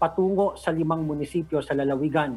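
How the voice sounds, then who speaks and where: At a moderate pace, a man speaks with a somewhat breathy quality. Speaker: news reporter. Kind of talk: news live report. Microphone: video call.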